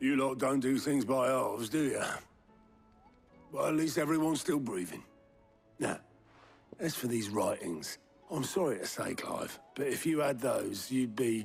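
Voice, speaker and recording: A man puts on a raspy character voice at medium pitch and a moderate pace, with long, frequent pauses and faint music in the background. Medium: video game. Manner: wry, practical.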